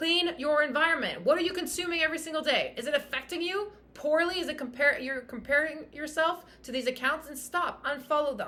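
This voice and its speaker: A woman speaks high and fairly quickly in a raised, projected voice, with hardly any pauses and ordinary pitch variation. Her bright, sharp tone is animated and passionate, with big swings in loudness. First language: French. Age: 30s. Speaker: fitness coach and podcast host. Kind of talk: motivational podcast monologue. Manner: animated, passionate.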